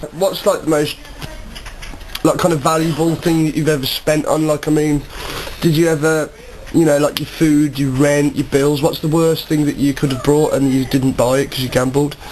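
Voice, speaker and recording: A man's fairly high voice, monotone and flat, at a moderate pace against noticeable background noise. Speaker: amateur documentary maker, interviewer. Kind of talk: interview question.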